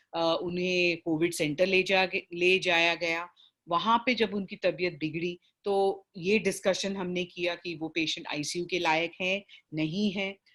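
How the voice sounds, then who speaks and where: With a South Indian accent, a woman speaks at a fairly low pitch in a monotone, flat intonation over a quiet background. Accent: South Indian, Hindi described as weak. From South Indian, raised in Bombay. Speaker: palliative care doctor and facilitator. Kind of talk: online training session. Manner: halting, many fillers.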